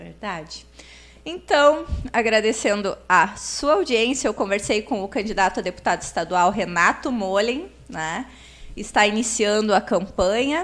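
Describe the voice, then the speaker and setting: With a southern Brazilian accent, a woman speaks fairly slowly in a fairly high pitch, her intonation lively. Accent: southern Brazilian (gaúcho) Portuguese. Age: 40s. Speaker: podcast host. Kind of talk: interview. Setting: live-streamed podcast in coworking space.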